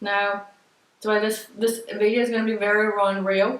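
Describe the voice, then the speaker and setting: Amid audible room echo, a woman of medium pitch speaks at a moderate pace with monotone, flat intonation. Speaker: spiritual card reader. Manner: halting.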